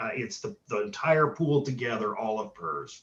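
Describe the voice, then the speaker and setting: The delivery comes at a fairly slow pace. The voice is somewhat breathy. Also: man. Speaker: auditor. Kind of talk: presentation Q&A at board meeting.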